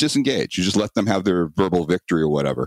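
A man speaks with a very deep, low pitch in a dry, close sound with no echo. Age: 50s. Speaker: self-protection instructor. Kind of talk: interview.

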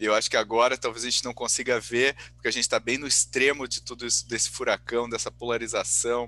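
A man talks very fast with hardly any pauses, the sound dry and close with no echo. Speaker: podcast host. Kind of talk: casual chat.

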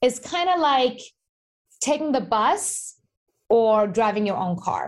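Lively intonation at a fairly slow pace, in a Persian accent. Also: woman. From Iran. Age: 30s. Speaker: investing educator and author. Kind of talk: podcast interview.

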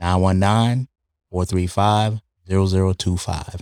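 Recorded dry and close with no echo, a man speaks at a fairly slow pace in a very deep, low voice. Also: very clean recording, silent background. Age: 50s. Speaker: cryotherapy spa owner, veteran. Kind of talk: casual interview; business promo.

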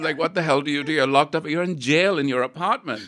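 In a very clean recording with a silent background, a man speaks at a fairly high pitch with vocal fry and a bright, sharp tone. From India. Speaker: fashion designer. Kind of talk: casual interview chat.

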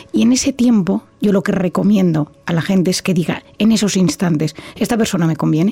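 With music playing in the background, a woman speaks at a moderate pace, her medium pitch showing ordinary pitch variation. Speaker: psychiatrist and author. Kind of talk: interview.

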